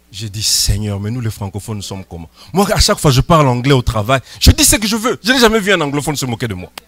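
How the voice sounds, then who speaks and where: With noticeable background noise behind him, a man speaks in a fairly high voice with very wide pitch swings, the sound dry and close with no echo. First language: not French (speaking French). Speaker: pastor. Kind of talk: sermon.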